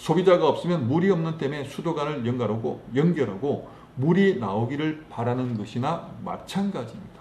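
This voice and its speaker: A man talks at a moderate pace with a Gyeongsang accent. His intonation is lively. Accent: Gyeongsang dialect, noticeable. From Gyeongsang province, South Korea. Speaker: network marketing distributor, book reviewer. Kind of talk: book summary and talk, reading aloud.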